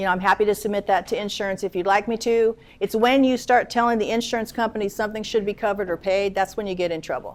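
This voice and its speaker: A woman talks at a medium pitch with fairly even intonation. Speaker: attorney. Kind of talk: lecture. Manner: fast.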